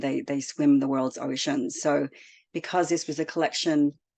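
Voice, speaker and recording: A woman speaks at a fairly quick pace in a very deep, low pitch, her dark, mellow tone held to a monotone, flat intonation over a quiet background. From Australia and Indonesia. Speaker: children's author. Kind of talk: webinar book presentation.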